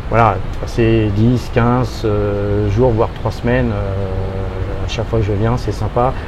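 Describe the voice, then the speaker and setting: There is noticeable background noise and audible room echo. A man talks at a fairly slow pace. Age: 60s. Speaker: expat interviewee, youtuber. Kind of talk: casual interview. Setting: outdoors by hotel pool. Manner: hesitant, many fillers.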